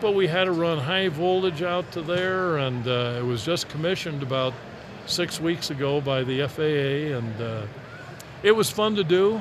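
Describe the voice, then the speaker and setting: In a room with audible echo and noticeable background noise, a man speaks at a moderate pace with a fairly high pitch and lively intonation. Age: 70s. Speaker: aviation business owner. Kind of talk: live interview. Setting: trade show floor.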